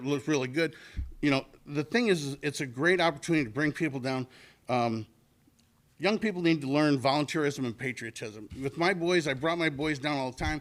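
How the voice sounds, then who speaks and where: At a very fast pace, a man speaks with a fairly high pitch. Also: very clean recording, silent background. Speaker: volunteer committee member. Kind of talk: public meeting address. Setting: council meeting. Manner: halting.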